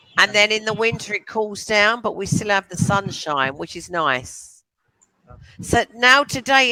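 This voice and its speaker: Speaking in a London accent at a moderate pace, a woman uses lively intonation, and her loudness swings a lot. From England, London. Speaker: online English tutor. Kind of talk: casual chat.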